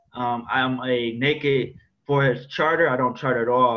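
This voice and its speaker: A man at medium pitch with monotone, flat intonation. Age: 20s. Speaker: forex trader. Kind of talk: screen-share trading tutorial. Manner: casual, slangy. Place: home room. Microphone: webcam.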